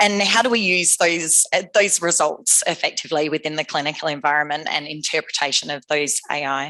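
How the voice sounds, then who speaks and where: With a strong Australian accent, a woman talks at a fairly quick pace and hardly any pauses. Her pitch is very deep and low, with ordinary variation. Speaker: AI scientist, company founder. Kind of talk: conference talk.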